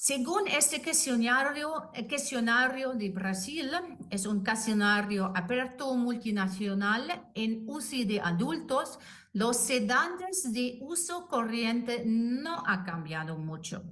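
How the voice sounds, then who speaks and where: A woman with a non-native accent speaks very slowly at a high pitch, with very wide pitch swings and audible room echo. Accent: non-native Spanish speaker. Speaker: anesthetist and intensive care doctor. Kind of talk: lecture. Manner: halting.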